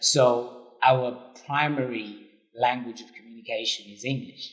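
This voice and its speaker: A man in a Zimbabwean accent speaks at a fairly slow pace with a medium pitch and flat, monotone intonation. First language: Shona. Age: young. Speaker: interviewee, immigrant. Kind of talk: casual interview.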